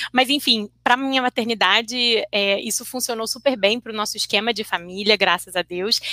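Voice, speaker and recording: A woman with an unremarkable speaking voice talks at a moderate pace and fairly high pitch, with fairly even intonation and hardly any pauses, in a dry, close sound with no echo. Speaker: interpreter and translator. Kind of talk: casual chat.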